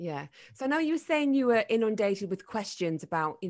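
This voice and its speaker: A woman at a fairly quick pace, with very wide pitch swings, against a quiet background. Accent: northern English. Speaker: podcast host and former radio presenter. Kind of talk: casual interview chat.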